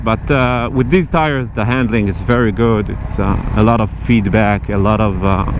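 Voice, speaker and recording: Moderate pace with hardly any pauses and ordinary pitch variation, amid audible room echo and noticeable background noise. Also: man, fairly low pitch for a man. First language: not English. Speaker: motorcycle vlogger. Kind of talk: casual vlog review while riding. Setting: riding a motorcycle outdoors. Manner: halting, many fillers.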